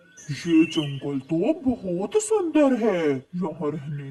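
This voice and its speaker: A cartoonish character voice at a middle pitch, delivered at a very slow pace. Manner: eager, ingratiating.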